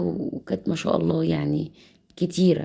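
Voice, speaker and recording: In an Egyptian accent, a woman speaks at a fairly slow pace. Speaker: cooking channel host. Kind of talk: cooking tutorial. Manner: casual, chatty.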